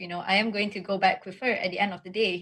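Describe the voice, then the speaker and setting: This is a woman speaking. Her voice is somewhat breathy. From Malaysia. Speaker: state assemblywoman; panelist. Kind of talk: webinar presentation; panel discussion. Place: home room. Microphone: video call.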